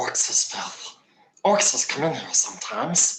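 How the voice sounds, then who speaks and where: Whispering in a put-on character voice, the speaker keeps a moderate pace. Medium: audio drama. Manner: servile, sly.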